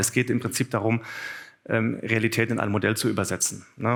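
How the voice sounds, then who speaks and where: Monotone, flat intonation marks this man's speech. His pitch is medium and his pace fairly quick. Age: 40s. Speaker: business executive, conference speaker. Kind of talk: conference talk. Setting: conference room with audience. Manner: hesitant, many filler sounds.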